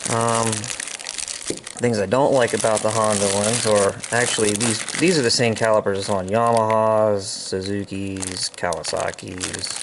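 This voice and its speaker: Over noticeable background noise, a man speaks with a fairly low pitch, fairly even intonation and a fairly slow pace. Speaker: atv hobbyist mechanic. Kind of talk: tutorial. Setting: outdoors. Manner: casual, filler-heavy.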